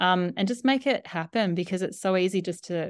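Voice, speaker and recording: A woman with an Australian accent, on a very clean recording with a silent background. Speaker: doula and author. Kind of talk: interview conversation.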